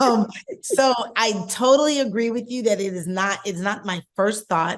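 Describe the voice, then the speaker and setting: A woman's unremarkable speaking voice, fairly high in pitch with ordinary variation, at a moderate pace. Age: 50s. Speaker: podcast co-host. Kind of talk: casual chat.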